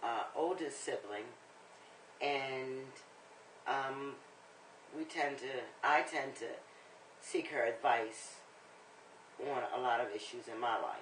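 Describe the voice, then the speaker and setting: The speaker goes at a very slow pace with long, frequent pauses. Intonation is fairly even, and the room echo is audible. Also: woman, very deep, low pitch for a woman. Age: 60s. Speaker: interviewee. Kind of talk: interview answers.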